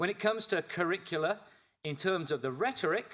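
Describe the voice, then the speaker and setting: A man's bright, sharp tone at a moderate pace, with ordinary pitch variation. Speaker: education researcher presenting report. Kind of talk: conference presentation. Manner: energetic.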